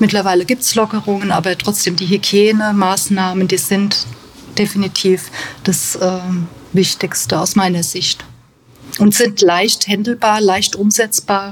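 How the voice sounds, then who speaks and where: The speaker is a woman with a medium pitch. She leaves long, frequent pauses. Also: fairly even intonation, fairly slow pace. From Germany, Bad Kreuznach (Rhineland-Palatinate). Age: 50s. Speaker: bookkeeper at a care home. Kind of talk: interview.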